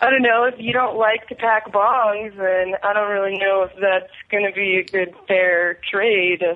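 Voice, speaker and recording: In an unremarkable speaking voice, a woman talks at a fairly slow pace and medium pitch with hardly any pauses. Her intonation is fairly even and her loudness very even. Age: 20s. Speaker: pageant winner, dispensary worker. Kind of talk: casual chat.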